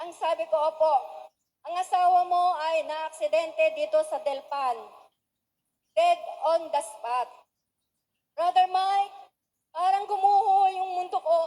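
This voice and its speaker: Extremely high in pitch, a woman speaks at a fairly slow pace with long, frequent pauses. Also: ordinary pitch variation. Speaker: church member giving testimony. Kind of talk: testimony. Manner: formal.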